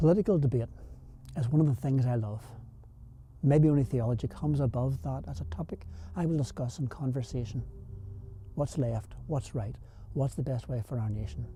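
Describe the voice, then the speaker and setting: With music in the background, a man with a Belfast accent talks fairly quickly at medium pitch with lively intonation. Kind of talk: rhyming spoken word poem over music.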